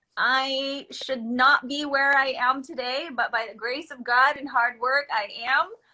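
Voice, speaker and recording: An animated woman's voice, high-pitched, at a fairly slow pace, with a Filipino accent. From Philippines, moved to Los Angeles at eight. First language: Filipino language. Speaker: microblading business owner. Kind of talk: casual chat. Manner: halting.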